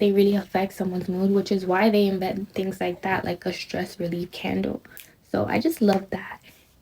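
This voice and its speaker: A woman talks at a moderate pace in a medium pitch. Her intonation is monotone and flat, with noticeable background noise. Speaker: lifestyle vlogger. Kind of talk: casual vlog talk to camera. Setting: in her room. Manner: encouraging, motivational; casual, chatty.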